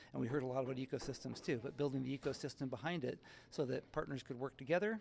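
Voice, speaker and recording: A man speaks at a very fast pace with vocal fry. His pitch is medium, with ordinary variation. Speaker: tech partnership executive. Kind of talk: conference interview. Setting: tech conference event.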